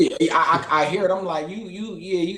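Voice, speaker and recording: With noticeable background noise behind him, a man with an American accent talks at a very fast pace and a high pitch. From Philadelphia, US. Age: 20s. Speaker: boxer. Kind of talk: casual chat. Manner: animated.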